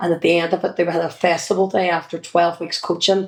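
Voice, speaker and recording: A woman with a Northern Irish accent, fairly low in pitch, at a fairly quick pace. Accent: Derry Northern Irish. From Northern Ireland, Derry. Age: 50s. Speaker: children's entertainer and former sports coach. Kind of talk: interview. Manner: casual, hesitant with fillers.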